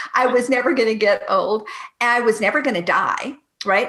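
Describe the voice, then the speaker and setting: Speaking in a normal speaking voice with a Canadian accent, a woman keeps a fairly quick pace and ordinary pitch variation. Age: 50s. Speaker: entrepreneur and business coach. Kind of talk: podcast interview.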